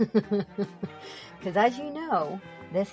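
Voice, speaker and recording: Music plays in the background as a woman talks with lively intonation. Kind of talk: comedic storytelling podcast. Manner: humorous, conversational.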